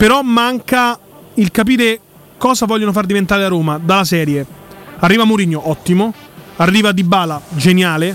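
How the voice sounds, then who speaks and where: At a moderate pace, a man speaks at a high pitch with ordinary pitch variation and very even loudness, leaving long, frequent pauses over noticeable background noise. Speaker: radio co-host, football commentator. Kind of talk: casual chat, football talk show. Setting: radio studio.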